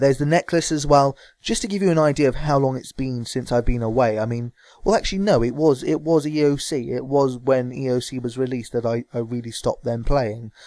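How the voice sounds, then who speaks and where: With typical rises and falls in pitch, the talking moves along rather quickly. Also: man. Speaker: gaming vlogger. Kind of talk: casual gameplay vlog. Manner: fast; hesitant with fillers.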